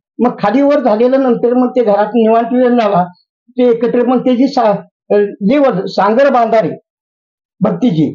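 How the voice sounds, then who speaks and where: A dark, mellow tone with ordinary pitch variation. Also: man. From Maan Taluka, Maharashtra, India. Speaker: farmer and pravachan speaker. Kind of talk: interview answer.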